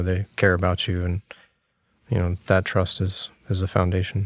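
A man talks at a fairly quick pace in an American accent. His very deep, low voice stays monotone and flat. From Virginia Beach, Virginia. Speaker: structural engineer. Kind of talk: interview.

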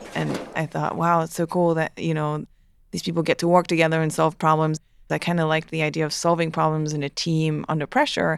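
In a French Canadian accent, a woman speaks at a fairly quick pace with monotone, flat intonation and a very deep, low pitch. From Quebec (Montreal). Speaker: aerospace engineer. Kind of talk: interview.

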